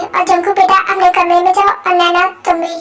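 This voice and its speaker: Using a put-on character voice, a woman speaks at a moderate pace. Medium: audio drama. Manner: firm, commanding.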